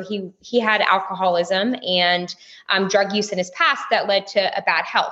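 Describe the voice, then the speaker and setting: A woman with a Texas accent talks at a moderate pace in a medium pitch with a bright, sharp tone. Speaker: stay-at-home mom and businesswoman. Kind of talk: casual interview chat.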